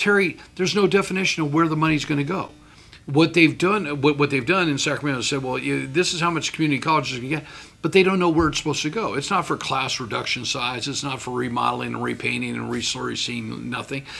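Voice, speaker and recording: A man with an American accent speaks at a very fast pace with a fairly high pitch and ordinary pitch variation. His tone is bright and sharp, with vocal fry. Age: 60s. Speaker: community college board president. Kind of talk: interview. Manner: halting, repeats words.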